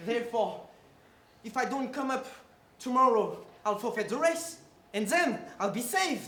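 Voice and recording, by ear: Putting on a character voice, a man speaks at an extremely high pitch with a bright, sharp tone and lively intonation. The pace is fairly slow, and strong room echo surrounds the voice.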